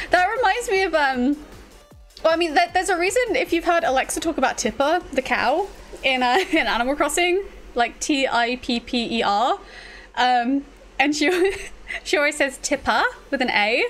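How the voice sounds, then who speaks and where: A woman with a British accent speaks in a high voice at a moderate pace, with very wide pitch swings. Her loudness stays very even, broken by long, frequent pauses. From UK. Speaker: streamer. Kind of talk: casual chat. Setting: livestream. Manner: halting, many fillers. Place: home room. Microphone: studio mic.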